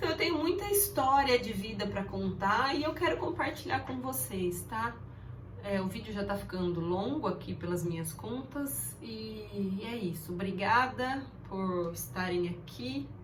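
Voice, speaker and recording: A woman's medium-pitched voice swings very widely in pitch as she talks at a fairly slow pace. Noticeable background noise and audible room echo fill the recording. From interior of São Paulo state, Brazil. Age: 40s. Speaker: vlogger. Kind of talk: casual talk to camera. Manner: hesitant, with fillers.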